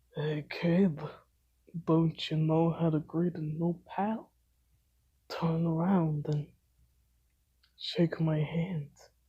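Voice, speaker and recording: A woman puts on a character voice with a fairly low pitch. She speaks at a very slow pace with long, frequent pauses. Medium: read story. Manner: gruff, casual.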